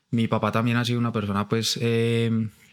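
In a very clean recording with a silent background, a man speaks at a moderate pace with a medium pitch. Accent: paisa. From Colombia, Pereira and Bogotá. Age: 30s. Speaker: advertising creative and artist. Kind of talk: casual interview chat. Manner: animated, repetitive.

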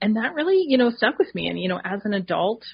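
A woman's voice with vocal fry. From Canada, northern New Brunswick. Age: 40s. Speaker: dietitian and naturopathic doctor. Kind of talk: interview conversation.

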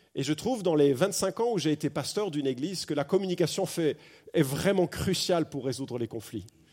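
Fairly high in pitch, a man speaks in an animated tone. His intonation is lively. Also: fairly quick pace. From France. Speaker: pastor. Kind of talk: sermon. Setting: church.

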